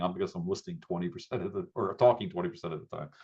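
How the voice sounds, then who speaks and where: A man talks at a very fast pace in an American accent. His pitch swings very widely. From US Northeast, southeast Pennsylvania. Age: 60s. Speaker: business coach. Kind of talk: interview.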